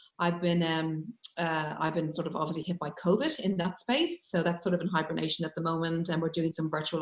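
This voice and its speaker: Speaking at a fairly quick pace, this woman has an Irish accent. Her pitch is fairly low. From Ireland. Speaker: business owner. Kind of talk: panel discussion. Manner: halting, many fillers.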